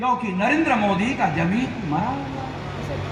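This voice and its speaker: A man's speech carries audible room echo along with noticeable background noise. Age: 60s. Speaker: activist organisation leader. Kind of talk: political rally speech. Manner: repetitive oratory.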